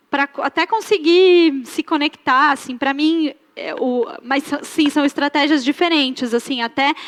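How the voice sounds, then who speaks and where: A woman with a high pitch and ordinary pitch variation is heard in a dry, close sound with no echo. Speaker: YouTuber teaching about art. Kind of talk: interview on stage at a fashion talk event. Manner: casual, hesitant with fillers.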